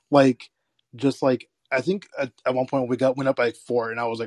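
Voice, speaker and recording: A man at medium pitch and a fairly quick pace, in a dry, close sound with no echo and a quiet background. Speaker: podcast co-host, teacher. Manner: animated.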